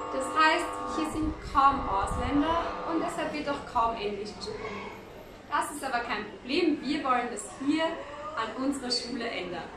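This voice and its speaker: A woman uses a raised, projected voice, high in pitch, at a fairly slow pace. Noticeable background noise and audible room echo come through. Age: 20s. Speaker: volunteer teacher; volunteer guide. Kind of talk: video diary. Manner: casual, with hesitations. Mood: friendly, cheerful.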